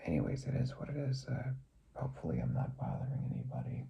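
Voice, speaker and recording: With an American accent, a man speaks at medium pitch and a moderate pace, with noticeable background noise and audible room echo. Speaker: vlogger. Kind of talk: personal vlog monologue. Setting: home recording at night. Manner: quieter than usual; hesitant, many fillers.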